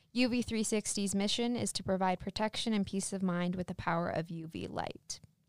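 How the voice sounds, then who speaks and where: An ordinary speaking voice from a woman, medium-pitched with ordinary pitch variation, at a fairly quick pace. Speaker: student podcast host. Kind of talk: reading aloud.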